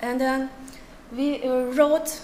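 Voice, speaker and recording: A woman with a Turkish accent speaks at a high pitch, with light background noise and audible room echo. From Turkey. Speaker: writer; conference presenter. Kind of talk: conference talk. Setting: stage with audience. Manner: halting. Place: hall. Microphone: podium.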